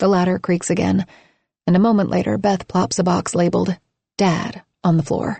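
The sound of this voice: An unforced reading voice with fairly even intonation comes through over a quiet background.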